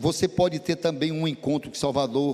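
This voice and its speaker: A man is speaking. His pace is moderate. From Brazil, Ceará (Sobral). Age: 60s. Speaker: pastor. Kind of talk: sermon.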